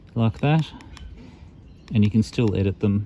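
With an Australian accent, a man talks at a fairly quick pace in a dry sound with no echo. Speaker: amateur radio reviewer. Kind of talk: product review tutorial. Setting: outdoors in the bush. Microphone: phone near.

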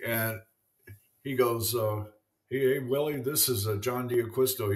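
At a fairly slow pace against a quiet background, a man with an American accent talks in a somewhat breathy voice with fairly even intonation. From US. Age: 70s. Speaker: former MLB pitcher and artist. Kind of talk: casual interview. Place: home room.

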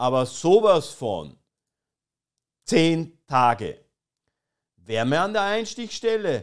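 A man with a fairly high pitch talks in a serious tone at a very slow pace, with very wide pitch swings. The background is quiet. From Austria. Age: 20s. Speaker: streamer. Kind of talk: satirical live stream commentary. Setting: live stream with chat. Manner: ironic, mock-serious. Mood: ironic, mocking. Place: home room. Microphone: studio mic.

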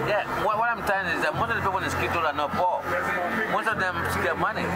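A man speaks at a fairly quick pace against loud background noise. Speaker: barber working on skid row. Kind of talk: interview answer. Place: street. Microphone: phone near.

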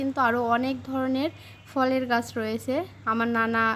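A woman speaks at a high pitch in a monotone, flat intonation. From rural Bangladesh. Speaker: vlogger. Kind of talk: casual vlog narration. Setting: outdoors on a rooftop.

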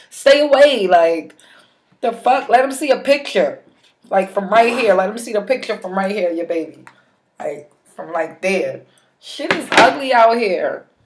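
Over loud background noise, a woman talks fairly slowly. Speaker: advice vlogger. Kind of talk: casual vlog chat. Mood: blunt, sassy, emphatic. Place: home room. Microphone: webcam.

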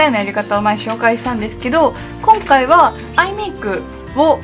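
A woman talks at a moderate pace while clear music plays behind her. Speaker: beauty vlogger. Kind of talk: casual vlog chat. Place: home room.

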